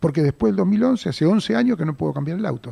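Very fast and somewhat breathy, a man speaks at a fairly high pitch with a dark, mellow tone and very wide pitch swings, in a dry, close sound with no echo. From Buenos Aires, Argentina (Mataderos). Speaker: theater producer. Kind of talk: radio interview. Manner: halting, with repetitions and fillers.

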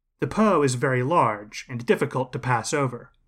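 Speaking at a moderate pace, a man with an ordinary speaking voice uses a medium pitch and ordinary pitch variation, in a very clean recording with a silent background. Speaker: history podcast host. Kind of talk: scripted history narration, lecture-like storytelling. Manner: measured, steady, formal and explanatory.

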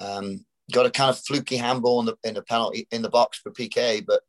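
A man talking at a fairly quick pace in a dry, close sound with no echo. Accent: British. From Britain. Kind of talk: casual chat.

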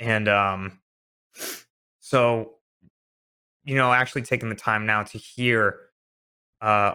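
Bright and sharp in tone, a man's medium-pitched voice stays monotone with flat intonation. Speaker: web show cast member. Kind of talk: serious group discussion. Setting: video call.

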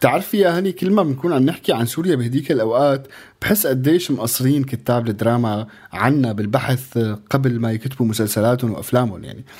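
A man with an ordinary speaking voice at a medium pitch talks at a fairly quick pace with lively intonation on a very clean recording with a silent background. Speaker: radio co-host. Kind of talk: casual radio chat.

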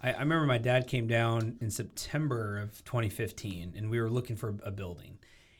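Somewhat breathy, a man with an American accent talks at a fairly quick pace with hardly any pauses. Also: medium pitch for a man, ordinary pitch variation. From US Pacific Northwest, Portland suburb, Oregon. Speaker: entrepreneur. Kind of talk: casual chat.

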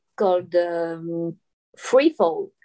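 Very slowly, a woman with a French accent speaks in a dark, mellow tone with lively intonation. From Reunion Island. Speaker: underwater filmmaker and free diver. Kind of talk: interview. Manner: halting, many fillers.

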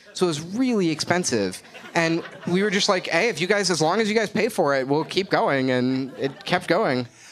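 Noticeable background noise accompanies a man's high-pitched voice. His loudness stays very even. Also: moderate pace. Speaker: game creator and comedy fan. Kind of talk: casual interview. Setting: stage with live audience.

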